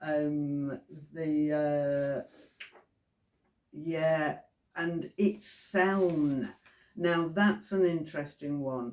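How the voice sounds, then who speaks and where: With a West Yorkshire accent, a woman speaks at a very slow pace with long, frequent pauses and big swings in loudness. Her very deep, low pitch shows ordinary variation. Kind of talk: casual talk to camera.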